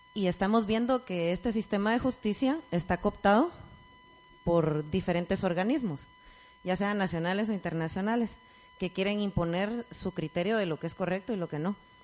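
Noticeable background noise behind a woman at medium pitch, moderate in pace, with ordinary pitch variation. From Guatemala. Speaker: course participant. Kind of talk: audience question.

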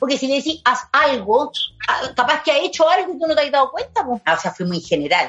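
With a Chilean accent, a woman speaks at a fairly quick pace. Her high voice makes very wide pitch swings. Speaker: podcast host and actress. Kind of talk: casual chat.

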